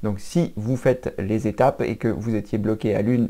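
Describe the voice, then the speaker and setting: In a very clean recording with a silent background, a man at medium pitch speaks with a dark, mellow tone and fairly even intonation. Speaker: computer training youtuber. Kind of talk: tutorial. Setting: at his mother's home. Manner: halting with fillers.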